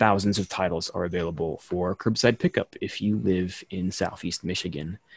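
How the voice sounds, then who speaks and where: Dry and free of echo, the recording captures a man with a very deep, low voice speaking at a moderate pace with fairly even intonation. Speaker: bookstore event director. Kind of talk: event welcome and moderation. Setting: video call. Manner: friendly, casual, filler-heavy. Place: home room. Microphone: studio mic.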